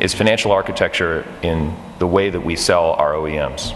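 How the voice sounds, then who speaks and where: A man's very deep, low voice with audible room echo and noticeable background noise. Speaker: steel company founder, conference speaker. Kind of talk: conference talk. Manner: fast; animated.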